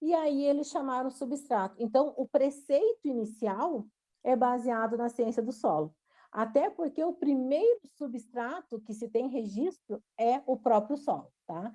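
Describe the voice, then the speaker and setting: A woman speaks in a Rio Grande do Sul accent with a high pitch and a dark, mellow tone. Her intonation is lively and her pace fairly slow. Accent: gaúcho (Rio Grande do Sul). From southern Brazil (Rio Grande do Sul). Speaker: university professor. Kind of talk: online lecture. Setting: online video lecture. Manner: hesitant, many fillers.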